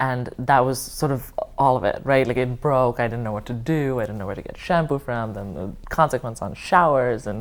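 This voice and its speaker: With big swings in loudness, a woman with a very deep, low pitch keeps a moderate pace, hardly pauses, and shows ordinary pitch variation. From India. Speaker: oral history interviewee. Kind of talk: oral history interview. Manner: hesitant, many fillers.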